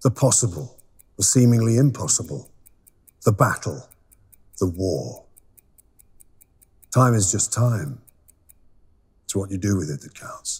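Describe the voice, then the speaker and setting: A man's somewhat breathy, medium-pitched voice at a fairly slow pace, with lively intonation, big swings in loudness, and long, frequent pauses. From Britain. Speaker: actor. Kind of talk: brand monologue read for a watch company.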